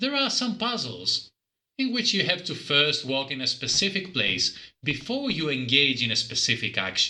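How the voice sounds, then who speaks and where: This man, with a non-native accent, has a high-pitched voice that swings very widely in pitch. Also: moderate pace. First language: not English. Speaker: game reviewer. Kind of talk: scripted review narration.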